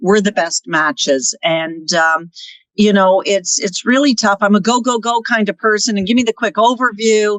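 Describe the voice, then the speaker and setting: A woman's normal speaking voice at medium pitch, moderate pace and very even loudness, with ordinary pitch variation and a dry, close sound with no echo. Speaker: real estate team managing partner. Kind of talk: podcast interview.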